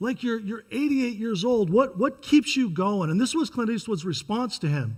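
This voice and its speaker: Very wide pitch swings mark a man with an American accent talking at a fairly quick pace in a very clean recording over a silent background. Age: 60s. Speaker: pastor. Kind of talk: sermon.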